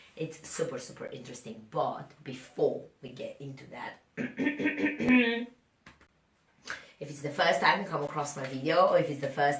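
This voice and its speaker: Audible room echo around a woman's moderately paced speech. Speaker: fitness coach and podcaster. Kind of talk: podcast monologue. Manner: casual, chatty.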